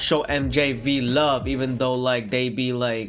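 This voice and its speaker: A man at medium pitch with fairly even intonation, speaking at a very slow pace amid audible room echo. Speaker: gaming YouTuber reacting to horror animations. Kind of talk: casual reaction commentary.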